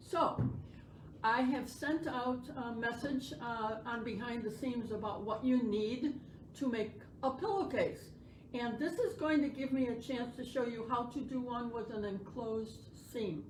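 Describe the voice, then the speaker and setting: Loud and high-pitched, a woman speaks at a fairly slow pace with ordinary pitch variation, amid audible room echo and noticeable background noise. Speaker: sewing instructor. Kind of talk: tutorial.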